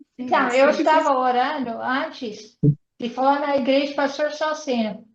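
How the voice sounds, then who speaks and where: Speaking fairly slowly, a woman uses a high pitch and fairly even intonation. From United States. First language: English (speaking Portuguese). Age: 80s+. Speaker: missionary speaker. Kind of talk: online interview. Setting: video call.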